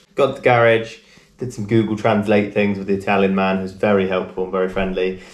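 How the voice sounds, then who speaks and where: Audible room echo surrounds a man with a fairly low pitch. He talks at a very fast pace with monotone, flat intonation. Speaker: travel vlogger. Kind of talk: casual vlog chat. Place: home room. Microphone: camera far.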